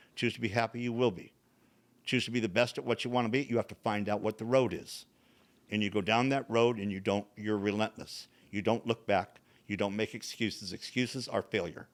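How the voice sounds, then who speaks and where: A man speaks with fairly even intonation and an unremarkable speaking voice. The recording is very clean, with a silent background. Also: medium pitch for a man, fairly quick pace. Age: 60s. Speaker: bodybuilding champion. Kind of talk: casual chat.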